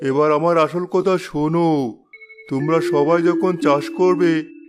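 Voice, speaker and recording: A cartoonish character voice at a fairly slow pace, with music in the background. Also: man, high pitch for a man. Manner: gentle, fatherly.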